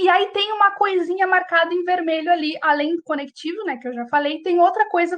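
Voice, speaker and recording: At a moderate pace, a woman with an extremely high pitch speaks in an animated tone, her pitch varying in an ordinary way. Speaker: teacher. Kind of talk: online lecture. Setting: live video class from home.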